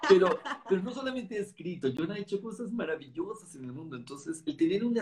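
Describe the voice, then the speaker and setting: In a Mexican accent, a man speaks in an animated tone at a fairly quick pace with very wide pitch swings. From Mexico City. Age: 50s. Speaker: network marketing leader and author. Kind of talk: interview conversation.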